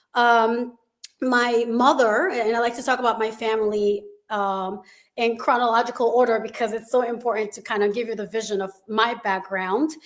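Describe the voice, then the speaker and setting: At a moderate pace, a woman with a Haitian accent speaks in a fairly high voice with fairly even intonation. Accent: Caribbean (Haitian). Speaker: school founder. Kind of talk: interview.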